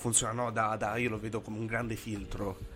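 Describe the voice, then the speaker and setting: Moderate in pace, a man's speech sits at a medium pitch. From Italy, Bari (Apulia). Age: 20s. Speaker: podcast host. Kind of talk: casual interview. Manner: halting, many repetitions.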